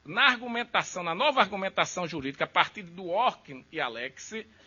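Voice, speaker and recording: Noticeable background noise surrounds a man speaking at a moderate speed. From Brazil, Recife. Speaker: law professor. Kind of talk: lecture.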